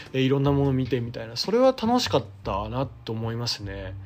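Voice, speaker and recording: Using a normal speaking voice, a man with a medium pitch talks at a fairly quick pace with lively intonation. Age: 30s. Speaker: theatre director and playwright. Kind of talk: solo podcast talk. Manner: casual.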